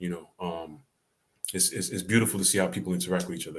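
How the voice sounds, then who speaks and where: In a New York accent, a man talks at a very fast pace. His pitch is very deep and low, with fairly even intonation. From New York City (the Bronx). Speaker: comedy clip channel host. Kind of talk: livestream chat reading comments. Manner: casual, laid-back.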